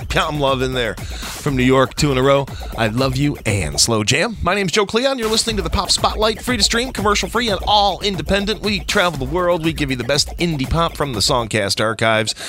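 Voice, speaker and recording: Upbeat and playful, the voice races along at a fairly quick pace with hardly any pauses and very wide pitch swings over music in the background. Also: man, fairly high pitch for a man. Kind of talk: radio DJ patter between tracks: station IDs, artist shout-outs and plugs. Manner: brisk, upbeat, punchy, with a playful quip.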